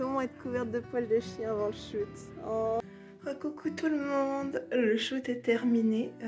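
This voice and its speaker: Music plays in the background as a woman with a fairly high voice speaks at a fairly slow pace. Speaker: cosplayer. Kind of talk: casual vlog talk to camera.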